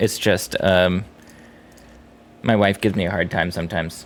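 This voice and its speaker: A man with an American accent delivers his words at a moderate pace. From US East Coast, Boston area. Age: 30s. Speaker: video game streamer. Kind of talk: casual chat. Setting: live stream.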